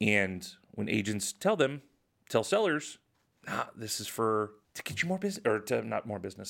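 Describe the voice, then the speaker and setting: A man talks at a moderate speed in a very clean recording, the background silent. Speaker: real estate agent and podcast host. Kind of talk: solo podcast monologue. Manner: casual, conversational, opinionated.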